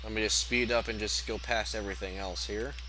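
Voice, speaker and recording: A man's moderately paced speech carries an audible echo from the room. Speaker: video game reviewer. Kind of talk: gameplay commentary.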